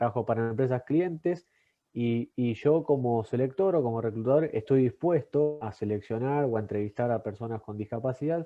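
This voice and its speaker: Speaking at a fairly quick pace, a man uses a medium pitch and ordinary pitch variation. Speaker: workshop moderator. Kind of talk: workshop discussion. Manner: talkative.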